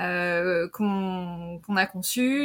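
This is a woman speaking. Her pitch is medium. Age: 40s. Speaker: marketing director and creative business podcaster. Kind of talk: casual interview. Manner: hesitant, many fillers.

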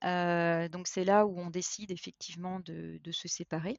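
A woman is speaking. Her pace is very slow. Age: 40s. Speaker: HR professional. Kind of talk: interview testimony. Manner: halting, many repetitions and fillers.

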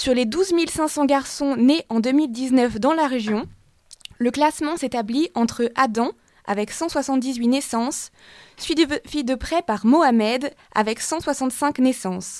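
A woman's high voice unfolds very slowly, with ordinary variation in pitch. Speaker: radio news presenter. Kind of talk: news reading. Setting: studio. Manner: formal.

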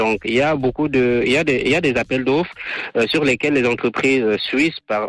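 A man at medium pitch and a moderate pace. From Cameroon. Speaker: electrical engineer and entrepreneur. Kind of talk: radio interview. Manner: halting, many fillers and repetitions.

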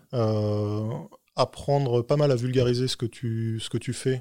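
In a very clean recording with a silent background and dry, close sound with no echo, a man speaks at medium pitch with fairly even intonation. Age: 40s. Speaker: tech executive. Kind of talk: interview. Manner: halting.

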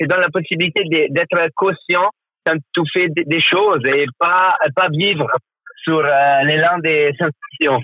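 With music playing behind him, a man with an Italian accent talks at a very slow pace, his pitch high, his intonation fairly even and his loudness very even. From northern Italy (Trentino, Val di Fiemme). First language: Italian (speaking French). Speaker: former Olympic figure skater and coach. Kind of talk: interview. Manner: halting, with repetitions and fillers.

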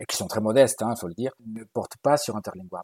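A man's medium-pitched voice with ordinary pitch variation and a dry, close sound with no echo. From Galicia, Spain. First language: Galician and Spanish (speaking French). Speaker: university language professor. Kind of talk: interview.

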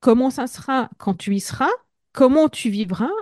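A somewhat breathy voice with lively intonation at a fairly slow pace, dry and close with no echo, over a quiet background. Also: woman. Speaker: entrepreneur and leadership coach. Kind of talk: casual interview.

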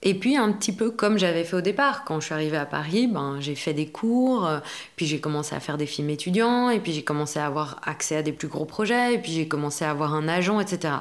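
At a moderate pace, a woman speaks with lively intonation in a very deep, low pitch. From Belgium. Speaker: actress and acting coach. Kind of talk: casual interview.

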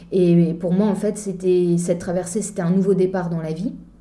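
A woman speaks at a fairly slow pace. Audible room echo fills the recording. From eastern France. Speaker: mountaineer and charity founder. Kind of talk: interview. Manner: hesitant, many fillers.

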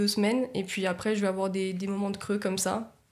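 The woman's medium-pitched voice moves at a moderate pace, its intonation monotone and flat. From Nice, France. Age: 20s. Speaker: communications agency co-founder. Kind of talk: casual interview.

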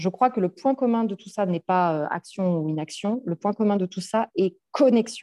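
The woman's tone is dark and mellow. She talks at a moderate pace with ordinary pitch variation. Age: 40s. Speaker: psychologist and coach. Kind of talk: casual interview.

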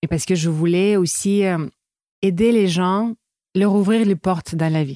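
At a fairly slow pace, a woman speaks with a dark, mellow tone, medium pitch, ordinary pitch variation and very even loudness, in a dry, close sound with no echo. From Russia, Saint Petersburg. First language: Russian (speaking French). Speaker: entrepreneur, eating-disorder coach. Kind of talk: interview. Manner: hesitant, many fillers.

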